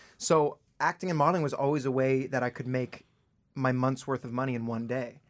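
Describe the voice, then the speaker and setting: A man's unremarkable speaking voice, medium in pitch, with a Canadian accent, fairly even intonation and a fairly quick pace, on a very clean recording with a silent background. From Toronto area, Canada. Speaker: singer-songwriter. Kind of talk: interview. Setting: radio studio.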